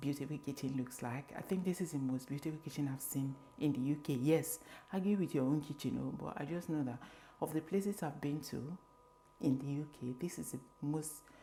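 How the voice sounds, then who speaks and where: A woman whispers at a fairly quick pace. Music plays in the background. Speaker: lifestyle vlogger. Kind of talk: home tour vlog. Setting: at home in kitchen. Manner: whispering; casual.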